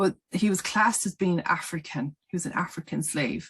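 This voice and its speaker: A woman with a fairly low pitch speaks at a fairly slow pace over a quiet background. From Ireland. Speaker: spiritual healer and vlogger. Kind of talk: casual vlog monologue. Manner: plain, direct.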